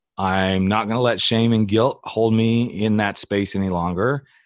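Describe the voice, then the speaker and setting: The speaker has a slight Southern US accent. The recording is very clean, with a silent background. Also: man. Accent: slight Southern drawl. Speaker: podcast host and coach. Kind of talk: casual interview chat.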